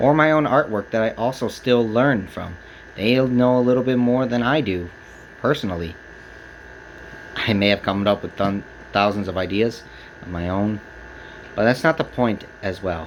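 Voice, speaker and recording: Noticeable background noise runs behind a man with an American accent whose fairly low pitch carries ordinary variation, broken by long, frequent pauses. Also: moderate pace. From Texas, San Antonio. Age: 20s. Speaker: speaker giving a personal talk. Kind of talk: prepared speech to camera. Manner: halting.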